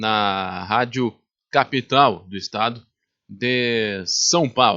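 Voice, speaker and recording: A man at a medium pitch with a bright, sharp tone against a quiet background. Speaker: project host introducing the interview. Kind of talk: spoken introduction.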